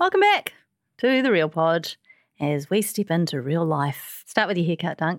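A woman with a New Zealand accent talks at a moderate pace with lively intonation and a fairly low pitch, the sound dry and close with no echo. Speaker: podcast host. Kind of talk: casual chat. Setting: studio.

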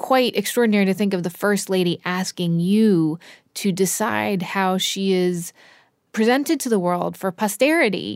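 A woman with an ordinary speaking voice and a medium pitch talks at a fairly slow pace with lively intonation. The recording is very clean with a silent background and a dry, close sound with no echo. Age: 40s. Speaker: podcast host. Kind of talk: interview. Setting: studio.

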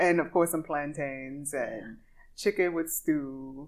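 A woman with a Louisiana accent, very deep and low in pitch, with ordinary pitch variation and a very slow pace. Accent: Southern US, Louisiana. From Louisiana, US. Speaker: podcast host and singer. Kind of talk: casual interview chat. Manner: animated, upbeat.

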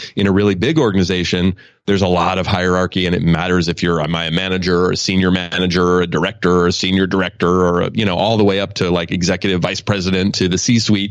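In an American accent, a man with a very deep, low pitch talks monotonously and very fast with hardly any pauses. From US West Coast, Oakland, California. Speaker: author and leadership speaker. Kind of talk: interview.

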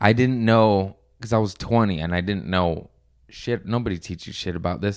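A man with a plain, everyday voice and a fairly low pitch speaks at a moderate pace with ordinary pitch variation on a very clean recording, silent background. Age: 30s. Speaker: stand-up comedian. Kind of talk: casual chat.

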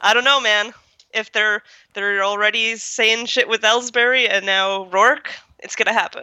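Speaking at a moderate pace, a woman uses a fairly high pitch with monotone, flat intonation and a bright, sharp tone. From Canada. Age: 20s. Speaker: baseball fan guest. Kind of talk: casual chat.

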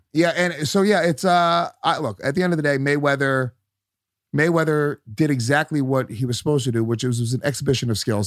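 Using a normal speaking voice, a man talks at a fairly quick pace with fairly high pitch and ordinary pitch variation, on a very clean recording with a silent background. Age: 30s. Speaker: comedian. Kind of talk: casual chat.

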